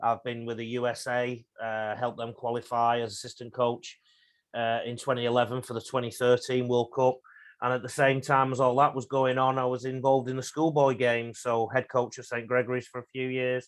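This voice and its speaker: A man speaks with an English accent at a medium pitch. His intonation is monotone and flat, and his pace is fairly quick. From England. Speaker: rugby league coach. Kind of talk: podcast interview.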